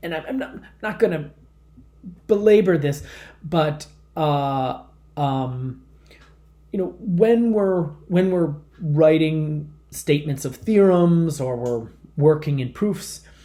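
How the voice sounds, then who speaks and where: Audible room echo surrounds a man speaking in a dark, mellow tone. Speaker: math professor. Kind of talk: lecture. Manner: halting, many fillers and repetitions.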